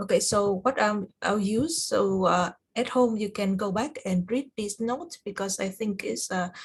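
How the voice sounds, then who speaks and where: A somewhat breathy voice at a fairly slow pace, with ordinary pitch variation and hardly any pauses. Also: woman, medium pitch for a woman. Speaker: cloud certification study group instructor. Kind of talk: online tutorial review session. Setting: video call. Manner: halting, many fillers.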